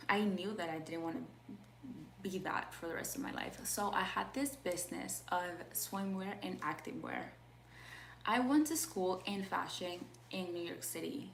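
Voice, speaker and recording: Long, frequent pauses break up this woman's speech. The recording has noticeable background noise and audible room echo. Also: moderate pace. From Peru. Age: 20s. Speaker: life coach. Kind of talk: live stream talk. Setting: live video call. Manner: halting.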